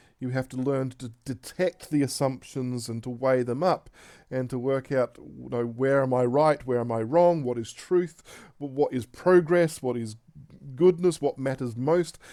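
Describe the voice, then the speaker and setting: A man with an Australian accent and a dark, mellow tone, moderate pace and ordinary pitch variation, on a very clean recording with a silent background. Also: medium pitch for a man. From Australia (Tasmania). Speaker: pastor. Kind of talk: recorded talk voiceover over slides. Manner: halting, many fillers and restarts.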